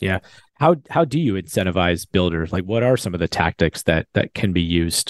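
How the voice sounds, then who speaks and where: Against a quiet background, a man talks at a fairly quick pace in a very deep, low pitch. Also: ordinary pitch variation. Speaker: podcast host. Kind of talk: podcast hosting with an ad read.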